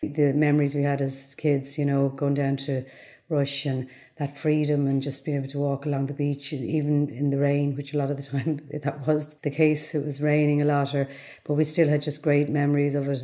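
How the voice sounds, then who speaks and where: A woman with a Dublin accent speaks quite quickly, her very deep, low pitch set in a dark, mellow tone with monotone, flat intonation. The recording is very clean, with a silent background. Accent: Dublin Irish. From Dublin, Ireland (north side). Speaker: interviewee. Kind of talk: documentary interview.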